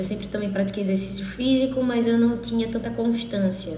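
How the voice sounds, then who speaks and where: Over noticeable background noise and audible room echo, a woman talks with fairly even intonation. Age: 30s. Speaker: interviewee sharing illness experience. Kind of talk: testimony.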